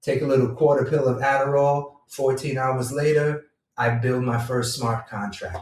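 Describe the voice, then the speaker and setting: A somewhat breathy man speaks at a medium pitch. His intonation stays fairly even. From Jamaica. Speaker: entrepreneur and vlogger. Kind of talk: casual monologue. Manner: relaxed, conversational.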